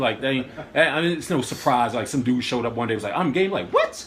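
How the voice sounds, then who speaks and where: Speech comes at a very fast pace with ordinary pitch variation. Noticeable background noise is present. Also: man. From Washington, D.C. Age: 30s. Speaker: vlogger and poet. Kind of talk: casual interview discussion. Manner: animated.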